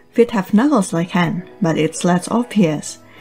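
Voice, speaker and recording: Lively intonation at a moderate pace, with a non-native accent and music in the background. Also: woman. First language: non-native English speaker. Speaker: digital art tutorial creator. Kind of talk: art tutorial narration.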